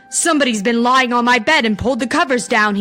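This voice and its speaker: A woman uses a put-on character voice at a high pitch. She talks at a very fast pace with faint music in the background. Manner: growling.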